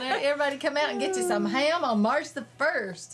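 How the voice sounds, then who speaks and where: A speaker with a Southern US accent. Noticeable background noise runs behind the voice. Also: woman. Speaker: local TV talk show host. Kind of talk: casual chat.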